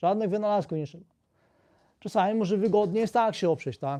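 A man with a Polish accent has a dark, mellow tone and a high pitch. He talks fairly quickly but leaves long, frequent pauses. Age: 60s. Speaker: physiotherapist video blogger. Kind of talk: tutorial, explanatory talk to camera. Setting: live video stream. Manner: explanatory, conversational.

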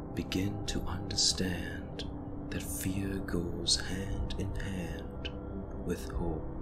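Loud background noise fills the clip. Through it, a man speaks at a very slow pace. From India. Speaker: meditation guide. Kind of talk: guided meditation.

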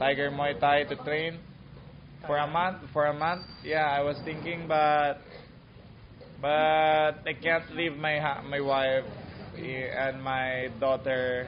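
Against noticeable background noise, a man speaks very slowly in a flat monotone, leaving long, frequent pauses. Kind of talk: interview answer. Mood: calm, thoughtful. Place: gym.

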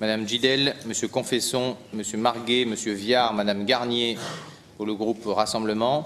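A man talks at a fairly slow pace in a medium pitch, his intonation monotone and flat, with light background noise behind him. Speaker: mayor chairing city council. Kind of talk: council meeting chairing. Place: hall. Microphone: podium.

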